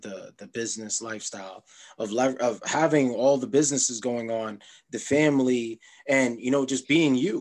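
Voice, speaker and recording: A man with a medium pitch talks at a moderate pace in an ordinary speaking voice. The background is quiet. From Jamaica, Queens, New York. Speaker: podcast host. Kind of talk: interview conversation.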